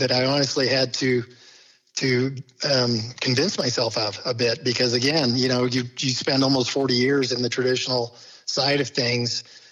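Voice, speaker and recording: Moderate pace in an American accent, monotone and flat in intonation, very even in loudness, with noticeable background noise. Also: man. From Kansas City area, US Midwest. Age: 60s. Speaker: laboratory company executive. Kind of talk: podcast interview.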